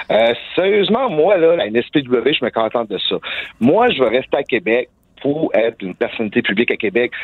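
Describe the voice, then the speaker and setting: Very wide pitch swings mark this man's medium-pitched voice. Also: moderate pace. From Quebec, small village. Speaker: professional wrestler. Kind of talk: interview.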